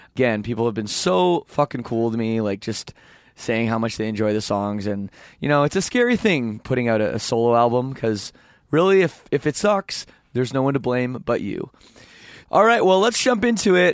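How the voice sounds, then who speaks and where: Here a man has an unremarkable speaking voice, with medium pitch and lively intonation. The recording is very clean with a silent background and a dry, close sound with no echo. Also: moderate pace. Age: 30s. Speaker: podcast host and band lead singer. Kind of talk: casual interview. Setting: backstage at a concert venue.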